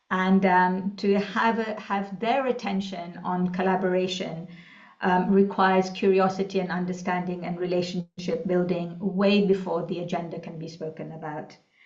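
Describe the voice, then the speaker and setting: In a room with audible echo, a woman of medium pitch speaks at a moderate pace with monotone, flat intonation and big swings in loudness. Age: 60s. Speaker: executive coach. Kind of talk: interview. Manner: hesitant, many fillers.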